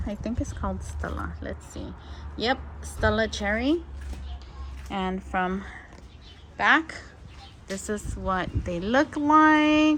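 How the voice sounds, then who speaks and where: Big swings in loudness and long, frequent pauses mark this woman's speech. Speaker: home gardener and channel host. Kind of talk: garden tour vlog. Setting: outdoors in garden. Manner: casual with fillers.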